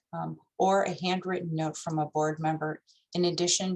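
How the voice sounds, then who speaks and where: A woman's very deep, low voice, monotone and flat, at a fairly quick pace with music in the background. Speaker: nonprofit fundraising director. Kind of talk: training presentation.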